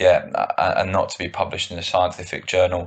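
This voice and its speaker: A man speaks in a southern English accent. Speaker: strength and conditioning coach. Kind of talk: interview answer.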